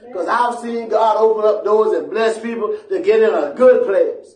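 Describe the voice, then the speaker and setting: Amid background music and audible room echo, a man with an American accent speaks in an animated tone. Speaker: pastor. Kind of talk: sermon. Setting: church. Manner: animated, call-and-response preaching, asking the congregation to answer; emphatic and repetitive, pressing points home. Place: church.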